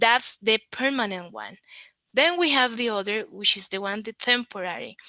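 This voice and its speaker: A woman's fairly high, bright and sharp tone, lively intonation, moderate pace, and a dry, close sound with no echo. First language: Spanish. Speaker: conference speaker on web accessibility. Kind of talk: conference talk.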